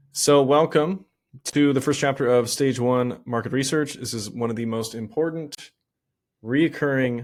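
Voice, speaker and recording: A man's voice with ordinary pitch variation. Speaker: online business coach. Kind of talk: tutorial. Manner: fast.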